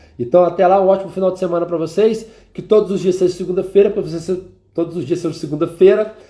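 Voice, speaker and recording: Talking at a very fast pace, a man with a high pitch and a dark, mellow tone keeps his intonation fairly even. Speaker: mentor and live stream host. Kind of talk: live stream talk with prayer. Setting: live stream.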